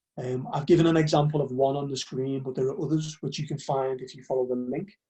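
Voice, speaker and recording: In a Liverpool accent, a somewhat breathy man with a fairly high pitch talks very fast, with fairly even intonation and big swings in loudness. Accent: Liverpool (Scouse). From northern England, Liverpool. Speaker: university recruitment officer. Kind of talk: webinar presentation. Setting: live online webinar.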